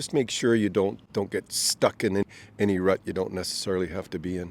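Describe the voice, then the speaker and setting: A man speaks at a fairly quick pace with a Canadian accent. He has an unremarkable speaking voice. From Canada, Ontario. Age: 60s. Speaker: retiree. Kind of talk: street interview.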